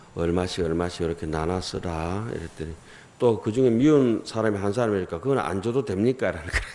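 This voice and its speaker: A man speaks at a moderate pace with a strong Gyeongsang accent. His tone is dark and mellow, and his pitch varies in an ordinary way. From South Korea, Gyeongsang region. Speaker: Buddhist monk giving a dharma talk. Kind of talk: sermon. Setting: temple hall with audience. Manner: casual, conversational with dialect.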